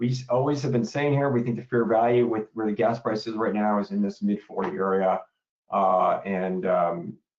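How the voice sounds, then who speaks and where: A man with a fairly low pitch talks at a fairly quick pace. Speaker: energy market analyst presenting a webinar. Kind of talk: webinar market update presentation. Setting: online webinar. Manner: fast; casual, filler-heavy.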